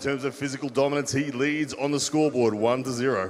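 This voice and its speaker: There is noticeable background noise as a man with a fairly high pitch speaks. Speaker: arm wrestling commentator. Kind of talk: live commentary. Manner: loud; animated.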